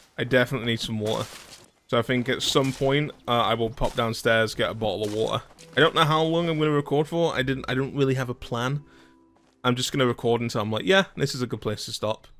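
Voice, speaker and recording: Music plays behind a voice that rushes along very fast. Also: man, medium pitch for a man, ordinary pitch variation. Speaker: gaming video creator. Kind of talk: casual let's play commentary. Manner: casual, conversational.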